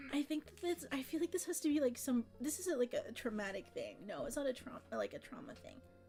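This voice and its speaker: Music plays in the background as a woman talks. She speaks at a very fast pace, with hardly any pauses. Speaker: streamer. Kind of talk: casual chat. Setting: live stream. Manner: rambling, halting.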